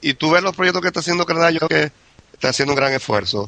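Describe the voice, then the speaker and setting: Recorded dry and close with no echo, a man's fairly high voice shows ordinary pitch variation. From Venezuela, Maracaibo. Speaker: immigrant oil industry worker. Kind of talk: casual interview.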